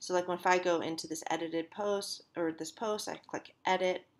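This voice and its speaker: A woman speaks at a fairly slow pace in a fairly low pitch. Her intonation stays monotone and flat. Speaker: college instructor. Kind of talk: tutorial. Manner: halting, many fillers.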